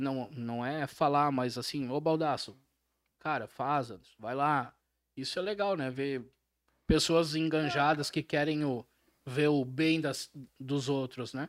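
Speaking very slowly with long, frequent pauses, a man uses a fairly high pitch and fairly even intonation in a very clean recording with a silent background. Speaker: podcast host. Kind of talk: casual chat.

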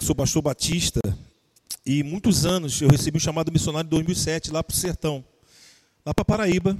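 Recorded dry and close with no echo, a man with a fairly high pitch speaks at a moderate pace. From southern Brazil (Rio Grande do Sul). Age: 40s. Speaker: pastor. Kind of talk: casual interview. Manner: animated.

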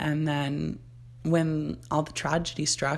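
A woman speaks with a Canadian accent. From Ontario, Canada. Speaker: podcast host. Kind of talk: casual monologue.

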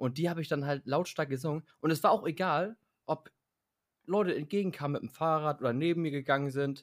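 Using an ordinary speaking voice, a man with a fairly high pitch talks at a fairly quick pace with ordinary pitch variation, the sound dry and close with no echo on a very clean recording with a silent background. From Hamburg, northern Germany. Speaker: podcast co-host. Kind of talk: casual chat.

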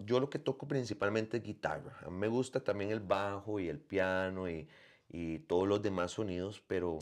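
A man's fairly low pitch, ordinary pitch variation and moderate pace against a quiet background. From Costa Rica. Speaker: musician and bandleader. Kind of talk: interview.

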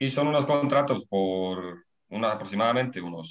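The pace is fairly slow. A man talks with ordinary pitch variation. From Spain, Ávila (Castile and León). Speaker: predoctoral researcher, biologist. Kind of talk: interview. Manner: halting, many repetitions and fillers.

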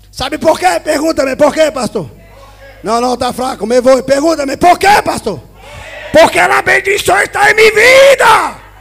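A man's animated tone carries over noticeable background noise. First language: Spanish (speaking Portuguese). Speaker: pastor. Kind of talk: sermon.

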